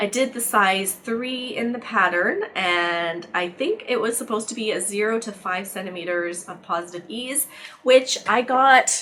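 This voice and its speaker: Against noticeable background noise, a woman speaks at a fairly high pitch with ordinary pitch variation. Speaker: knitting podcaster. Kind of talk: casual chat. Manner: casual, with fillers.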